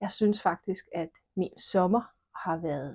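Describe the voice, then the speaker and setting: A woman's voice with ordinary pitch variation. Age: 50s. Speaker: knitting podcaster. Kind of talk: casual podcast monologue. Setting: at home alone.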